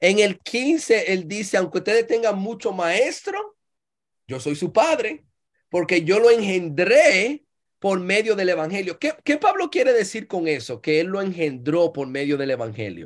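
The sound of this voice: At a fairly slow pace, a woman speaks at medium pitch with lively intonation.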